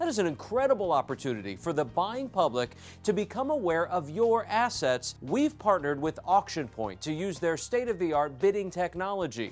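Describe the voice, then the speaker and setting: Over faint background music, a man speaks in an upbeat tone at a fairly quick pace, his high voice swinging very widely in pitch. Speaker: promotional presenter. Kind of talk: corporate promotional narration. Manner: upbeat, persuasive. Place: studio. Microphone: lapel.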